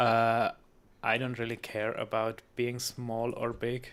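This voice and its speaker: Speaking with a non-native accent and monotone, flat intonation, a man is heard in a very clean recording with a silent background. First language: not English. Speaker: gaming streamer. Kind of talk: live stream chat with viewers. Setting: live stream. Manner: hesitant, many fillers and restarts.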